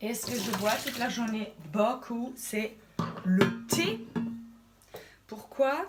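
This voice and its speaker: A woman speaks very slowly in a playful tone, her pitch fairly high. Noticeable background noise runs behind her. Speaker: comedian. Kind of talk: casual talk to camera. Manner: playful, hesitant.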